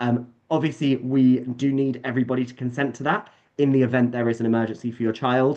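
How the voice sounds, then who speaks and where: The voice carries a British accent and a fairly quick pace. Its intonation is fairly even. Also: man. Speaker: summer camp staff presenting to parents. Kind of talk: online presentation. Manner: fast.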